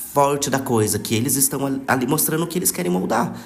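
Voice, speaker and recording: A man's medium-pitched voice with noticeable background noise and audible room echo. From Brazil, São Paulo state (Taubaté). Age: 20s. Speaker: podcast guest. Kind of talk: casual chat.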